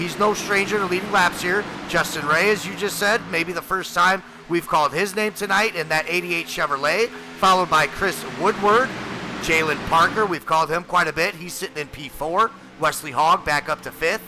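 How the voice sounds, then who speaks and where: A man speaks loudly at a moderate pace, his voice high-pitched with ordinary pitch variation over noticeable background noise. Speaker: sim racing commentator. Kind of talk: live commentary.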